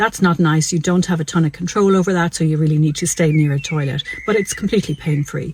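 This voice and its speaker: A woman with an Irish accent speaks at a fairly quick pace. Her pitch is very deep and low, with ordinary pitch variation. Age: 60s. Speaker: doctor. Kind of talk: health explainer video. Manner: conversational.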